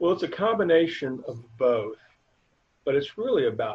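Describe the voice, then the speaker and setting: Somewhat breathy, a man's voice swings very widely in pitch. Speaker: nonprofit board member, interview guest. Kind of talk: casual interview answers. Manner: hesitant, filler-heavy, halting.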